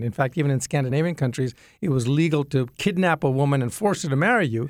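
A man with a non-native accent speaks very fast. His pitch is fairly high and his intonation lively. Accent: non-Southern foreign. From grew up in Jamaica, Yemen, Sudan, Ethiopia; Indian parents. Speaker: engineer and apologetics teacher. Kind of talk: radio interview.

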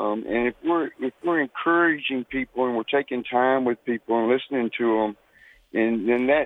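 A man speaks in an unremarkable speaking voice. His pitch is medium and his pace moderate. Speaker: caller. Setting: phone call.

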